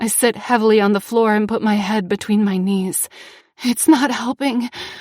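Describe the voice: With fairly even intonation, the text is given in plain reading aloud.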